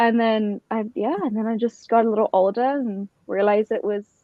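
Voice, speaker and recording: A woman with a British accent, fairly high in pitch, at a moderate pace. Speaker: motorsport organization founder. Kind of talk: podcast interview.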